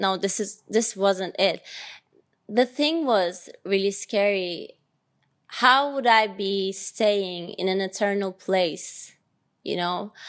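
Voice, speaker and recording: The speaker talks at a very slow pace with a Turkish accent. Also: woman, medium pitch for a woman, ordinary pitch variation. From Turkey (Ankara). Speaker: podcast host. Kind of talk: personal monologue.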